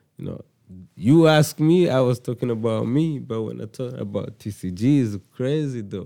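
At a fairly slow pace, a man with a Rwandan accent speaks at a medium pitch with a dark, mellow tone. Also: lively intonation. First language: Kinyarwanda. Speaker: rapper. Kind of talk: casual chat.

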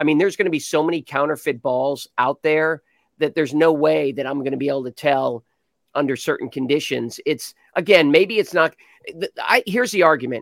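With an ordinary speaking voice, a man talks at a fairly quick pace and a fairly high pitch with ordinary pitch variation, in dry, close sound with no echo. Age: 60s. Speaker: golf commentator. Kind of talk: casual chat.

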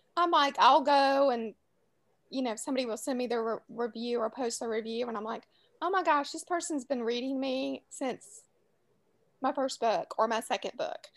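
A high-pitched woman's voice in a Southern US accent, at a moderate pace with ordinary pitch variation. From New Orleans, US South. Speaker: author. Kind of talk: casual interview chat.

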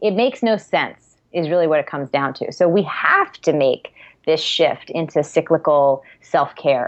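A woman with an unremarkable speaking voice speaks at a fairly low pitch. Her pace is moderate and her intonation lively. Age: 30s. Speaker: integrative nutritionist. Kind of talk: interview.

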